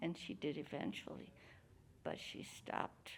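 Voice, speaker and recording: Speaking with vocal fry at a fairly slow pace, a woman has a New Mexico accent. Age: 80s+. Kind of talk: interview answer.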